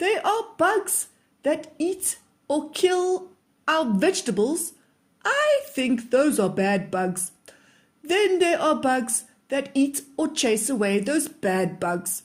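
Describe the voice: A woman puts on a character voice at a high pitch. She goes at a slow pace with big pitch swings.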